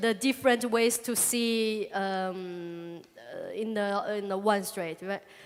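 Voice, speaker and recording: A woman with a Chinese accent, very slow, her pitch rising and falling in an ordinary way. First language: Chinese (speaking Spanish). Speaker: comic artist. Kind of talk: public talk Q&A. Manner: halting.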